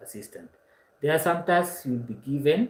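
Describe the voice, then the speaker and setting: A man speaks with a Kenyan accent. His intonation is lively. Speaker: online course instructor. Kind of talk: lecture. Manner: hesitant, frequent uh fillers.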